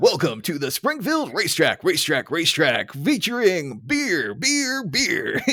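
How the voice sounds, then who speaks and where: Over light background noise, a man does a put-on character voice pitched high, with very wide pitch swings. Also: moderate pace. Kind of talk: announcer delivery. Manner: funny, echoing, repeating words.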